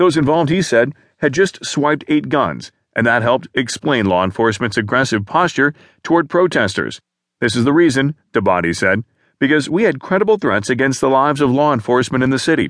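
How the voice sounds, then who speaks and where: An unremarkable speaking voice at a fairly quick pace, with lively intonation, very even loudness, a quiet background and dry, close sound with no echo. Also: man, medium pitch for a man. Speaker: audiobook news narrator. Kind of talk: formal newsreading, scripted narration of newspaper articles. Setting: studio. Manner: formal, measured and even, neutral news-anchor delivery.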